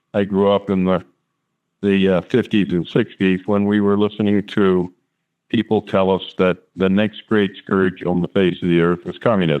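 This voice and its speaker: In an American accent, a man speaks at a moderate pace in a very deep, low voice with monotone, flat intonation. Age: 60s. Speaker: whistleblower scientist, war veteran. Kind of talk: interview. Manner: hesitant, many fillers.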